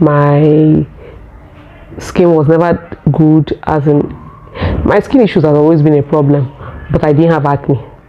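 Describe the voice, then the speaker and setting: The delivery is fairly slow, with long, frequent pauses and fairly even intonation. Loudness stays very even over noticeable background noise. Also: woman, very deep, low pitch for a woman. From Nigeria. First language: Nigerian local language. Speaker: vlogger. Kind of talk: casual personal vlog talk. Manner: halting, with fillers.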